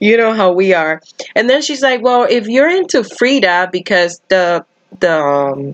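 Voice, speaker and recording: Heard with a dry, close sound with no echo, a woman with a Spanish accent speaks with lively intonation. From Dominican Republic. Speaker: cross-stitch YouTuber. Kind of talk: live stream chat while stitching. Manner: casual, chatty.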